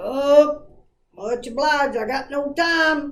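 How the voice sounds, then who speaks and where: A very slow, high-pitched put-on character voice from a woman. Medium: solo performance. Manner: laconic, folksy.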